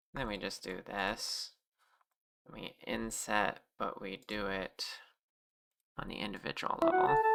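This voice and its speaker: Quiet speech comes at a very slow pace with long, frequent pauses over background music. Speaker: streamer and 3D modeler. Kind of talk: casual livestream chat. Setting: livestream. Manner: quiet, ASMR-like.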